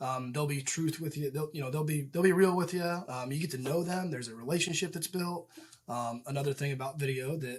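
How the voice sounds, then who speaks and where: A man's somewhat breathy, fairly high voice with an American accent and ordinary pitch variation. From Indiana, US Midwest. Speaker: real estate agent and property manager. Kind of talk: casual interview. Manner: many fillers and repeated words.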